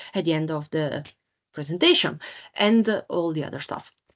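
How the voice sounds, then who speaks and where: A woman is speaking. Her pitch sits fairly low. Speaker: software sales representative. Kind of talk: product demo webinar. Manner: hesitant with many fillers.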